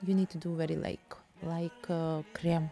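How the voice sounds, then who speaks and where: With a Russian accent, a woman speaks at a fairly slow pace over music in the background. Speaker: painting teacher. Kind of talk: tutorial. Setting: home studio. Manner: non-native, halting English.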